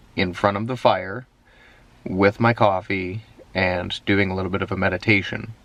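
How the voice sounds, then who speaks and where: A man at a fairly low pitch, talking at a moderate pace. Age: 30s. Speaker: vlogger. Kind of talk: daily video diary. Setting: in a parked car at night.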